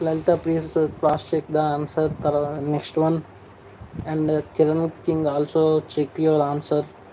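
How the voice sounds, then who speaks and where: The speaker goes at a fairly slow pace with a Telugu accent. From Andhra Pradesh, India. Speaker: online exam-prep teacher. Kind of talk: live-stream tutorial. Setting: live stream.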